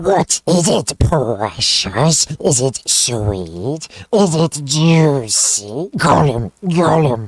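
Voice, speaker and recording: A put-on, raspy character voice at a low-to-middle pitch creeps along at a very slow pace. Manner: gloating, wheedling.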